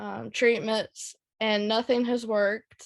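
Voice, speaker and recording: Very slow speech with an American accent. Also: woman. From North Carolina. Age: 20s. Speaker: chronic illness patient speaker. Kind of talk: personal testimony in online meeting.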